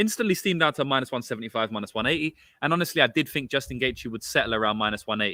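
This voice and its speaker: In a London accent, a man speaks at a very fast pace, his pitch making very wide swings. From London, England. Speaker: sports betting podcast host. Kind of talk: casual podcast analysis. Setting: outdoors.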